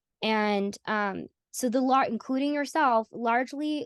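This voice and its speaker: Recorded dry and close with no echo against a quiet background, a woman with an American accent speaks at a high pitch with ordinary pitch variation. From US South. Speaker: AI community organizer. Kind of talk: interview conversation. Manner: halting.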